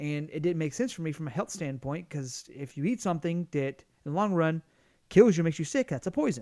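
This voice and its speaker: On a very clean recording with a silent background, a man with a Southern US accent talks fairly quickly in a dark, mellow tone with lively intonation. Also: fairly high pitch for a man. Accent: Southern US, obvious. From US South. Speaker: podcast co-host. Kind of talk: casual chat. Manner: halting, many restarts.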